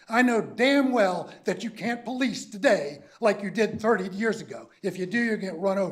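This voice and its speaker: A man with a high-pitched voice speaks in an animated tone with hardly any pauses. Noticeable background noise runs underneath. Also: ordinary pitch variation, moderate pace. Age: 70s. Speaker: public commenter, army veteran. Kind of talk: public comment at a county meeting.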